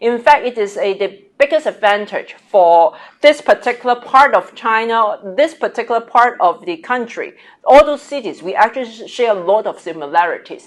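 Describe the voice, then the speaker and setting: A woman with a Cantonese accent speaks at a moderate pace in a fairly high voice, with lively intonation and big swings in loudness. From Hong Kong. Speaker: business executive. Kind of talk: interview dialogue.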